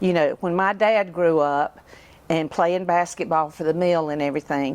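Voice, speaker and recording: The speaker is a woman with a fairly low pitch. She keeps a moderate pace and ordinary pitch variation. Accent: Southern US. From US South, upstate South Carolina. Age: 60s. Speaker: local resident. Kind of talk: interview.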